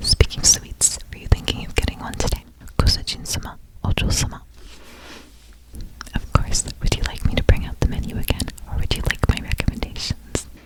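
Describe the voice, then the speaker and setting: A man whispers at a fairly quick pace with long, frequent pauses. His loudness swings widely, and there is noticeable background noise. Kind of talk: whispered maid cafe ASMR roleplay. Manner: whispered, soft-spoken, polite.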